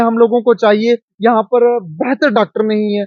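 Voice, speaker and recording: The voice belongs to a man. It sits at an extremely high pitch. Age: 30s. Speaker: local politician. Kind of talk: interview. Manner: animated.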